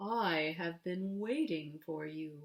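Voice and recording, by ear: The voice is a put-on character. Its pitch stays in the middle.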